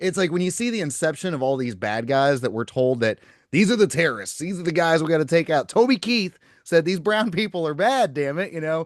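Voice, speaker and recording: Against a quiet background, a man talks at a very fast pace. His pitch is fairly high and swings very widely. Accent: slight Southern US. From Oklahoma. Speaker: podcast host. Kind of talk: casual podcast conversation.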